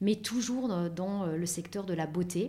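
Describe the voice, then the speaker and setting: A woman's voice, fairly low in pitch, comes across somewhat breathy with a dark, mellow tone. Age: 40s. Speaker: beauty industry professional. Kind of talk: interview.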